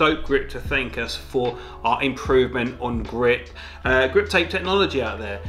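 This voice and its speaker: A man speaks at a moderate speed with faint music in the background. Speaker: product reviewer. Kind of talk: review talk to camera. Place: home room.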